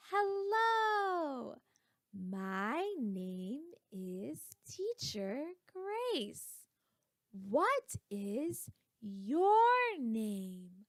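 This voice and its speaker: A put-on character voice from a woman, pitched high and delivered very slowly. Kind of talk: teacher talk. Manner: very slow, clearly spoken.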